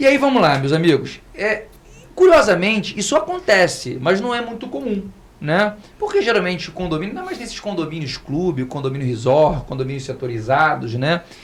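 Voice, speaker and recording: A man's high-pitched voice with very wide pitch swings, over noticeable background noise. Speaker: lawyer. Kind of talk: podcast panel discussion. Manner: fast.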